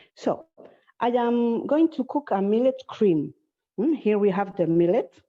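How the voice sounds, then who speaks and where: This woman speaks with a Spanish accent at a fairly slow pace and very even loudness. Her fairly high voice moves through very wide pitch swings. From Spain. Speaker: cooking teacher. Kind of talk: cooking class. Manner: halting.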